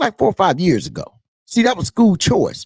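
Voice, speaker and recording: Speaking in an American accent, a man sounds animated, with a dry, close sound and no echo. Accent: Southern US twang, comes out at times. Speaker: political commentator. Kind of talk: political commentary livestream.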